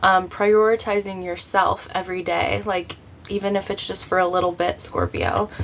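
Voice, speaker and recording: Over background music, a woman talks at medium pitch and a moderate pace. Her intonation is monotone and flat. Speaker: tarot reader. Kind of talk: tarot reading. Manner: casual, filler-heavy.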